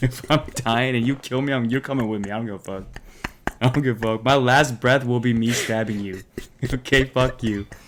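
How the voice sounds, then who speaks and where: A man's fairly quick, fairly even-toned speech against clear background noise. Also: medium pitch for a man. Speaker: podcast co-host. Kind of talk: casual chat.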